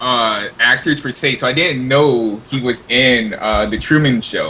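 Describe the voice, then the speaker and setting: A man's voice sits at a medium pitch. Noticeable background noise is present throughout. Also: fairly even intonation, fairly slow pace. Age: young. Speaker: podcast co-host. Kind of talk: casual chat.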